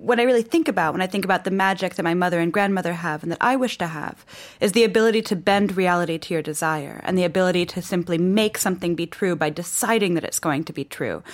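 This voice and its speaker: A woman talks at a very fast pace with hardly any pauses and ordinary pitch variation. The recording is very clean, with a silent background. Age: 30s. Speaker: author. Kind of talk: interview. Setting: studio. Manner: energetic.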